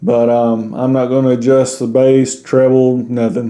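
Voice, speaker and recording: Speaking at a moderate pace in a Southern US accent, a man has a dark, mellow tone at medium pitch. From US South. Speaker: YouTuber reviewing gear. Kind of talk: product review.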